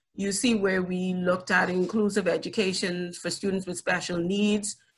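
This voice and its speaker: With a bright, sharp tone, a woman speaks at a moderate pace and fairly even intonation. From Bahamas. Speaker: education ministry official, panelist; panelist. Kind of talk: panel presentation. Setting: video call. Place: home room. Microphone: video call.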